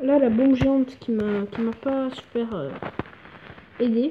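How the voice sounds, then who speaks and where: High-pitched woman with fairly even intonation, over noticeable background noise. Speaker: gaming YouTuber. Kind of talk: gameplay commentary.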